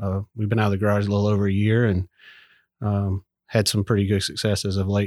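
With a Southern US accent, a man speaks very fast in a fairly low, monotone, flat voice, the sound dry and close with no echo on a very clean recording with a silent background. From southern Mississippi. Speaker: army veteran and business owner. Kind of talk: casual interview. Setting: workshop.

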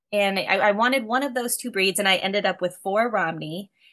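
A woman with an American accent talks at a very fast pace in a bright, sharp tone, her medium pitch moving with ordinary variation against a quiet background. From US Midwest. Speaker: homesteader and farmer. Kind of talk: casual interview chat.

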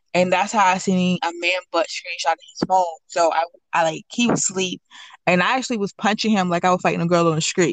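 This woman has an ordinary speaking voice, medium in pitch, moving at a fairly quick pace with fairly even intonation and very even loudness in a dry, close sound with no echo. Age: 20s. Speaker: anonymous guest sharing personal HIV story. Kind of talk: personal testimony interview.

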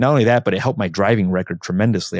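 Recorded with a dry, close sound and no echo, a man talks with ordinary pitch variation. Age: 30s. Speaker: real estate agent and investor. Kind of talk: interview. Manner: halting.

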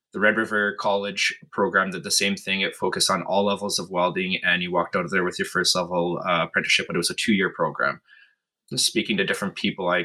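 A man speaks with a Canadian Prairie accent. He goes at a very fast pace in a very clean recording with a silent background. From northern Manitoba, Canada. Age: 30s. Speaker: blacksmith. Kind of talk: casual interview.

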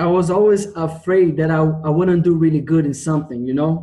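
In a Portuguese accent, a man with a fairly high pitch speaks in a dark, mellow tone at very even loudness. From Brazil, Rio de Janeiro. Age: 20s. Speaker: geoscience student. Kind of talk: interview. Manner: halting.

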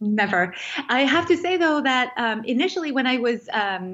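A woman's fairly high pitch and lively intonation, in a French accent. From France. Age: 30s. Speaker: food writer and life coach. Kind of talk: interview conversation.

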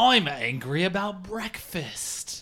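Here is a put-on character voice with a British accent. It sits at a middle pitch. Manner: angry.

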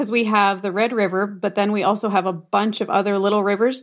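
Against a quiet background, the speaker talks at a fairly quick pace with fairly even intonation in a Canadian Prairie accent. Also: woman. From southern Manitoba, Canada. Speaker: farmer. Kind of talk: casual chat.

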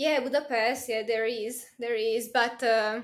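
A woman with a Hungarian accent speaks at a moderate pace in a high voice. Her intonation is monotone and flat, with audible room echo around her. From Hungary. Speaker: university student. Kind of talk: casual chat.

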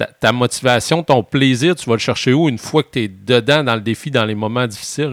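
Recorded very cleanly with a silent background and a dry, close sound with no echo, a man at medium pitch uses a normal speaking voice, talking at a fairly quick pace with hardly any pauses and ordinary pitch variation. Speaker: adventurer, podcast co-host. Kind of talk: podcast conversation. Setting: outdoor studio.

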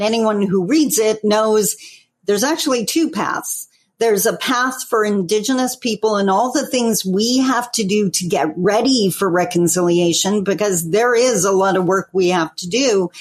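A woman speaks at medium pitch and a moderate pace with ordinary pitch variation. Hers is an unremarkable speaking voice with a Canadian accent. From Northern Ontario, Canada. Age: 50s. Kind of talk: interview.

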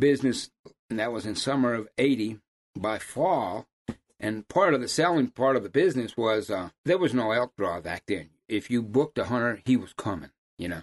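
A man with an American accent, medium pitch, lively intonation and moderate pace, in an ordinary speaking voice. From Massachusetts, US. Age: 60s. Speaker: hound hunter and outfitter. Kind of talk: casual chat.

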